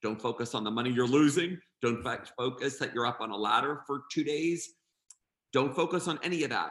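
Fairly quick and fairly high-pitched, a man talks in a normal speaking voice. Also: ordinary pitch variation. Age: 50s. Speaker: event designer and florist. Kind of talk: interview.

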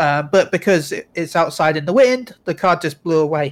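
Recorded very cleanly against a silent background, a man with a high pitch and an English accent speaks at a moderate pace. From England. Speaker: guest co-host, streamer. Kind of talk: casual chat.

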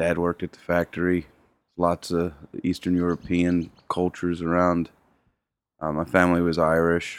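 A Philadelphia accent with monotone, flat intonation, a moderate pace, long, frequent pauses and big swings in loudness, in a dry, close sound with no echo and a very clean recording over a silent background. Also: man, very deep, low pitch for a man. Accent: Philadelphia-area American. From US, Chester, Pennsylvania (Philadelphia area). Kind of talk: casual interview storytelling. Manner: halting, many fillers and repeats.

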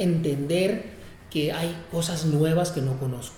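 Noticeable background noise sits behind a man whose high pitch shows ordinary variation. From Tijuana, Mexico. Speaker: music producer and venue director. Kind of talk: interview. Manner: frequent fillers and repetitions.

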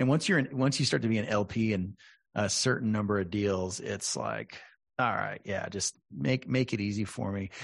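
A man with an ordinary speaking voice and a fairly low pitch keeps a moderate pace, his pitch varying in an ordinary way. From Texas, San Antonio. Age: 40s. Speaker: podcast host. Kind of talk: interview.

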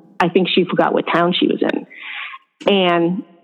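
With an American accent, a woman of medium pitch talks at a moderate pace in an ordinary speaking voice. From upstate New York. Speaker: family caregiver. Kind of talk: casual interview chat.

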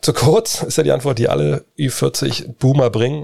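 This man's voice sits at a medium pitch and carries vocal fry. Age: middle-aged. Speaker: podcast host. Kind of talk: casual Q&A chat.

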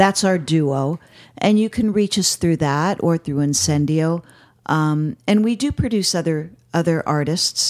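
A woman with an American accent speaks in an ordinary speaking voice at a fairly low pitch, with ordinary pitch variation and very even loudness. She talks at a fairly slow pace, and the very clean recording has a silent background and a dry, close sound with no echo. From US Northeast, Connecticut. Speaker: musician in a world music band. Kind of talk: casual chat.

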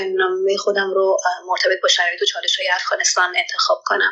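A woman talks at a very fast pace. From Iran (Afghan immigrant family). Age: 20s. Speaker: doctoral student. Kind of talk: interview testimony.

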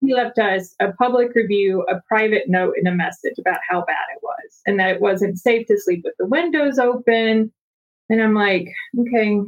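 With an American accent, a woman uses an ordinary speaking voice at a fairly high pitch, keeping a moderate pace and lively intonation. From US South. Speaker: real estate investor. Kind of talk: casual chat.

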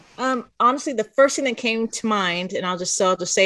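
A woman speaks with an American accent in a bright, sharp tone. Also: quiet background. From Oklahoma. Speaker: school board staff aide, guardian parent. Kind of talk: casual chat.

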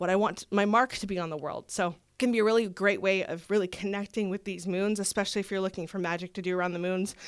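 A woman of medium pitch speaks at a fairly quick pace in a very clean recording with a silent background. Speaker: astrologer. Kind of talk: astrology forecast explanation. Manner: fast.

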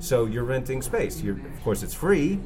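At a fairly quick pace, a man with a medium pitch speaks amid noticeable background noise and audible room echo. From Maine, New England. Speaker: author and success coach. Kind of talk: interview.

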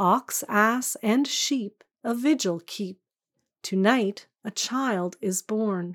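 The voice has a gentle tone and ordinary pitch variation, recorded with a dry, close sound and no echo. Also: woman. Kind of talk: poem performed, reading aloud a Christmas carol. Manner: gentle, measured and lyrical, with a hushed, tender storytelling cadence.

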